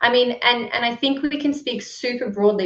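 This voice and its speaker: Here a woman talks with an Australian accent at a moderate pace. Her pitch shows ordinary variation. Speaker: book club moderator. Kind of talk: online discussion.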